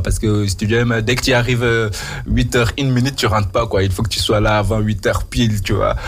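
A man talks at a moderate pace with a fairly low pitch and fairly even intonation. Noticeable background noise and audible room echo are present. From Mauritania. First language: not French (speaking French). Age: 30s. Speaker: radio host. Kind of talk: radio interview.

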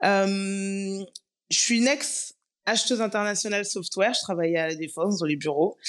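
A woman's medium-pitched voice at a moderate pace, with ordinary pitch variation, very even loudness and a quiet background. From Paris region, Guadeloupean parents. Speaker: content creator and traveler. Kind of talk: casual interview chat. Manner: hesitant, many fillers.

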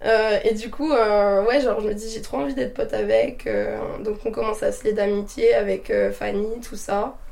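Audible room echo and noticeable background noise fill the clip. The pace is moderate. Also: woman. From north-eastern France (Meuse). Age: 20s. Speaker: nurse and traveller. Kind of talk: casual chat. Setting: recorded at her home.

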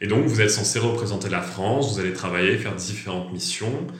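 There is noticeable background noise and audible room echo around this man's voice. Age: 20s. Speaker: French language teacher. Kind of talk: casual interview.

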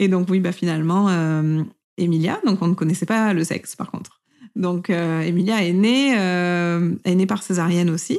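With a normal speaking voice, a woman talks at a fairly slow pace, her pitch fairly low and her intonation fairly even. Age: 30s. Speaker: mother sharing breastfeeding story. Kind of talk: personal testimony.

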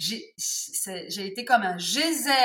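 This is a woman's voice. Her pitch is fairly high. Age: 50s. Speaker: textile artisan and tarot accessory maker. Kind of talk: interview.

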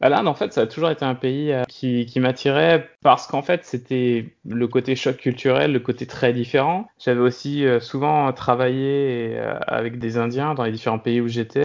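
The speech moves at a fairly slow pace with hardly any pauses and ordinary pitch variation. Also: man, medium pitch for a man. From France, Brittany (Brest). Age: 30s. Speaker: serial expat, food industry worker. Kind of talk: interview, casual chat. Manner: halting, many fillers and repetitions.

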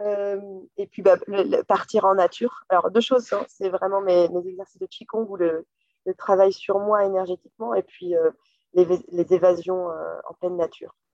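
A woman speaks at a medium pitch with fairly even intonation and a moderate pace. Her loudness swings widely, and the sound is dry and close with no echo. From western France, Loire region. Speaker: company director. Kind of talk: interview. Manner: hesitant, many fillers.

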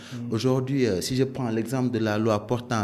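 The man's voice sits at medium pitch. He talks at a moderate pace. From Senegal, Dakar. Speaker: bank compliance director. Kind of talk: interview. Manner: hesitant, many fillers.

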